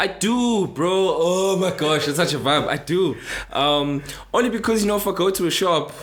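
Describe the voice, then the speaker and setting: A man talks at a moderate pace with a high pitch, ordinary pitch variation and very even loudness. Noticeable background noise and audible room echo are present. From South Africa, Cape Town. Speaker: musician. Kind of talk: casual interview chat.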